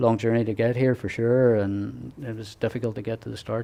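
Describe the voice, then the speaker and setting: A moderate pace in an Irish accent against a quiet background. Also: man. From Ireland. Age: 60s. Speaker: ultra-cycling racer and association president. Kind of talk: interview. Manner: halting, many fillers and restarts.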